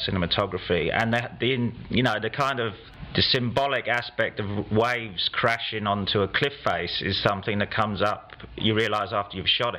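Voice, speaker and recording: This man speaks with a South London accent and fairly low pitch. His intonation is fairly even, and there is noticeable background noise. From England, South London. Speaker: film writer-director. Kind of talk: press interview. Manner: halting.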